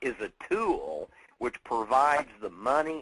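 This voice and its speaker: A bright, sharp tone with vocal fry. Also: man. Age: 50s. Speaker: network marketing speaker. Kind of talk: motivational talk. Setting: conference call. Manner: animated.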